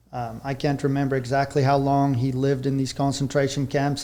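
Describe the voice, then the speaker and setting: This man has a South African accent and a fairly high pitch. He speaks at a moderate pace. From South Africa, rural Vereeniging area. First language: Afrikaans. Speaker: horse trainer. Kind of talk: podcast interview.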